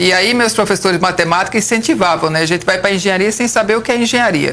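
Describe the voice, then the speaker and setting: A woman talks at a very fast pace with very even loudness over noticeable background noise. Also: medium pitch for a woman, ordinary pitch variation. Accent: northeastern Brazilian. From Brazilian Northeast, Alagoas and Paraíba (Campina Grande). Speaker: civil engineer. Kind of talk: interview.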